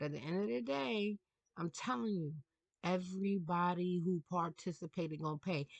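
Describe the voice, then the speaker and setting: With a New York accent, a woman speaks in an animated tone at a medium pitch. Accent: New York City. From New York City. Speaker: tarot reader. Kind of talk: casual monologue rant. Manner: halting.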